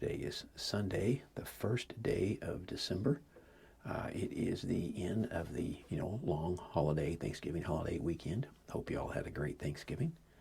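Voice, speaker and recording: Someone whispers at a moderate pace. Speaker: homesteader and hunter. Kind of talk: casual vlog talk. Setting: outdoors in a deer stand. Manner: quiet, hushed.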